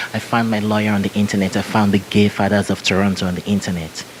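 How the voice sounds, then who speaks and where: Flat, monotone speech against noticeable background noise. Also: man. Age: 40s. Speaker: panel speaker. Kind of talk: Q&A answer. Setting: conference. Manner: halting.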